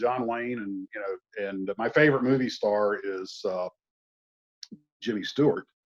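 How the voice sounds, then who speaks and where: Speaking at a fairly slow pace, a man with a Southern US accent uses a medium-pitched voice. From US Deep South. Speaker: model builder and YouTuber. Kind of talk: casual chat. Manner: halting, many fillers.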